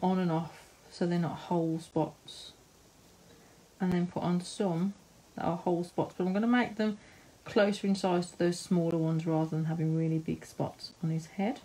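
A woman talks at a moderate pace in a fairly low pitch, with fairly even intonation. Her tone is dark and mellow, and somewhat breathy. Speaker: live-stream art tutor. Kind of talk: tutorial. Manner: chatty, giggly. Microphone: phone near.

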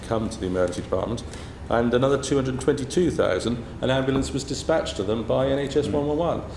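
A man speaks at a very fast pace with ordinary pitch variation. Light background noise and audible room echo surround him. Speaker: emergency doctor, college president. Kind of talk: testimony to MPs. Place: meeting room.

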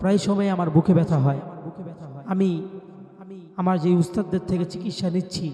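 Over noticeable background noise, a man talks at a high pitch. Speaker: Islamic preacher. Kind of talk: personal testimony. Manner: repetitive.

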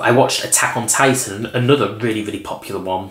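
Audible room echo follows a man speaking at a very fast pace. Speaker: vlogger. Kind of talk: casual vlog chat. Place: home room.

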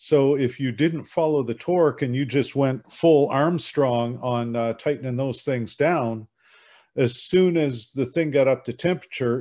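In a dark, mellow tone, a man speaks at a fairly slow pace with ordinary pitch variation against a quiet background. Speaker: broadcast transmitter engineer. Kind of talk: group discussion. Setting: video call. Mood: wry, humorous. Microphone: video call.

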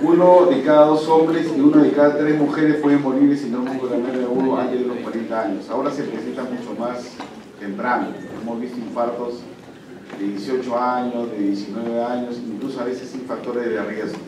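There is audible room echo and noticeable background noise. A man speaks at a moderate pace with ordinary pitch variation. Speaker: medical lecturer. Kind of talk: lecture. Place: classroom. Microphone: camera far.

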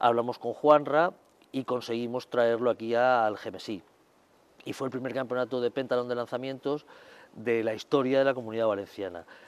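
Moving at a moderate pace, a man speaks with fairly even intonation. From Cartagena, Spain; Spain. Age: 50s. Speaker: masters athlete, shot putter. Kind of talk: interview. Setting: sports centre. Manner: halting with repetitions. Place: garden. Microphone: lapel.

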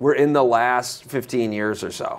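A man with an American accent speaks at a fairly slow pace. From Michigan. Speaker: preacher and seminar speaker. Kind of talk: sermon. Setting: church with audience. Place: meeting room.

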